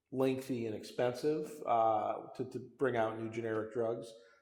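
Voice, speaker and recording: A man speaks at a fairly slow pace and a medium pitch with monotone, flat intonation. Audible room echo surrounds his voice. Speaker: company CEO. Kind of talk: interview conversation. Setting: winery barrel room. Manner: loud; repetitive, halting restarts.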